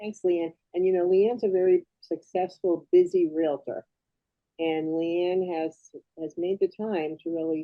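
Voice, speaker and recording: At a fairly slow pace, a woman with a fairly low pitch talks in an ordinary speaking voice. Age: 60s. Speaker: host of a sales presentation. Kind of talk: sales pitch.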